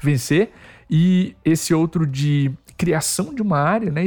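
Fairly high-pitched for a man, this is an unremarkable speaking voice with ordinary pitch variation. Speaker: podcast host. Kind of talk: interview.

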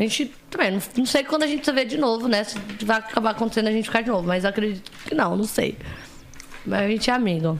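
Over noticeable background noise, a woman speaks very fast at a fairly high pitch. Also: ordinary pitch variation. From interior of São Paulo state, Brazil. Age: 20s. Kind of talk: casual chat.

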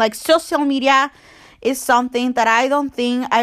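In a very clean recording with a silent background, a woman with a non-native accent speaks in an animated tone. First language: not English (learning English). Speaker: podcast host. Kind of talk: casual monologue, confessional. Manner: halting, rambling; animated, emotional.

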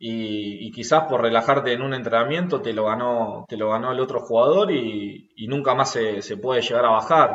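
A man in a Rioplatense accent with hardly any pauses. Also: medium pitch for a man, ordinary pitch variation, moderate pace. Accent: Argentine Rioplatense Spanish. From Argentina, Rosario. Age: 20s. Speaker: rugby player. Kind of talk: interview. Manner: hesitant, repeats words.

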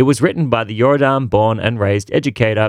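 In a normal speaking voice at medium pitch, a man is heard on a very clean recording with a silent background and a dry, close sound with no echo. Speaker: history co-host. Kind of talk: scripted historical narration. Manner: lively, wry, mock-comradely.

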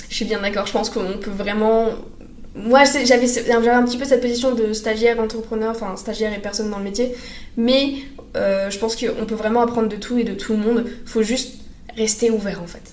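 A woman talks fairly quickly at a fairly high pitch, her intonation monotone and flat but her loudness swinging widely. Noticeable background noise and audible room echo fill the recording. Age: 20s. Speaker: communication student and former intern. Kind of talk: casual interview. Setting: in person in an office.

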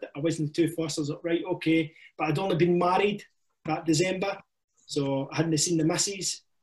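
Flat, monotone delivery from a man with a high voice and a Scottish accent, at a fairly quick pace. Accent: Scottish (Ayrshire). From Scotland, Ayrshire. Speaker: army veteran and firefighter. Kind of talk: casual chat. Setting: video call.

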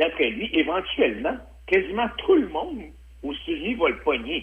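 The pace here is very slow. It is a man talking. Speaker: political commentator. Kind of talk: radio interview.

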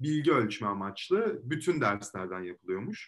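A man is speaking. His pace is moderate. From Istanbul, Turkey. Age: 20s. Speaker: law student. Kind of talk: interview. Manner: hesitant with frequent fillers.

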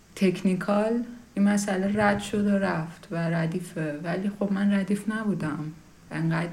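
Audible room echo and noticeable background noise surround a woman's voice. She speaks at a medium pitch and a fairly slow pace with fairly even intonation. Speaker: podcast host. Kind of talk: personal monologue.

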